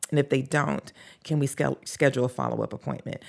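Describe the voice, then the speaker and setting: A woman speaks with a Southern US accent. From US South, North Carolina. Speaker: podcast creator and social justice advocate. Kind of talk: interview conversation. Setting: studio, in person.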